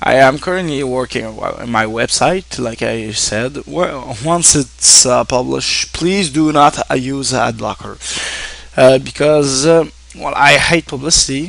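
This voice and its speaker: A man with a Quebec accent and medium pitch speaks at a fairly slow pace with ordinary pitch variation, over noticeable background noise. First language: French. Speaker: online streamer and game reviewer. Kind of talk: casual thank-you address to viewers. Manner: halting, many fillers and restarts.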